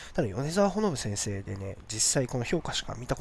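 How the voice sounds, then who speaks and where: This man talks at a fairly quick pace in a medium pitch, and his voice is somewhat breathy. His pitch swings very widely. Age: 30s. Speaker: podcast host. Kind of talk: casual solo talk.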